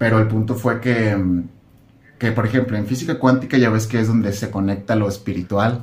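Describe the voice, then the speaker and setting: The speaker sounds somewhat breathy, with a Mexican accent and fairly even intonation. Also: man. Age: 20s. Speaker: content creator on spirituality. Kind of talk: casual chat.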